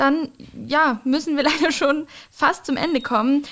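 With a fairly bright tone, a woman speaks at a high pitch and ordinary pitch variation.

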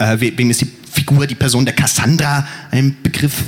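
With noticeable background noise present, a man's intonation stays fairly even. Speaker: poetry slammer. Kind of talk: spoken word poetry, rhymed verse performance. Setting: stage with audience, outdoors at university festival. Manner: theatrical, rhythmic, dramatic delivery.

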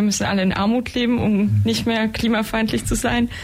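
Over noticeable background noise, a woman speaks at a medium pitch and a fairly quick pace. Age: 20s. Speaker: climate activist. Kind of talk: radio interview. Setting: radio studio.

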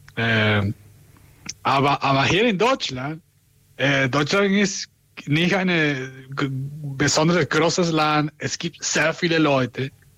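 A man with a Spanish accent speaks very slowly in a bright, sharp tone, leaving long, frequent pauses. His pitch is fairly high with ordinary variation, and his loudness stays very even. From Venezuela. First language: Spanish (speaking German). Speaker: community radio host. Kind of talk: casual radio chat; interview. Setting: remote connection. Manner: halting.

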